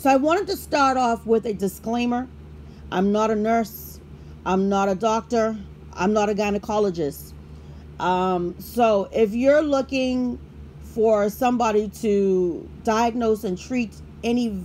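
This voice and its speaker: Over light background noise, a woman talks at a fairly slow pace with ordinary pitch variation. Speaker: product reviewer. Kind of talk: product review chat. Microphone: phone near.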